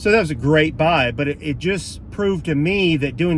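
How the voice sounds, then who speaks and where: A man at a moderate pace, with audible room echo. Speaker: reseller video host. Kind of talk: casual vlog monologue. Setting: in a truck. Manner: halting, many fillers.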